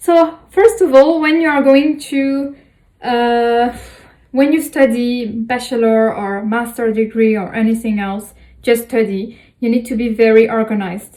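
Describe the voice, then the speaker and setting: With a French accent, a woman talks at a fairly slow pace in a high, dark, mellow voice with ordinary pitch variation. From France. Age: 20s. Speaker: student vlogger. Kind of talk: tutorial. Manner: halting, many fillers.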